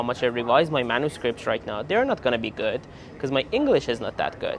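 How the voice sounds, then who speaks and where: Here is a man talking. He has a Persian accent. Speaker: PhD student vlogger. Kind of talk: casual vlog.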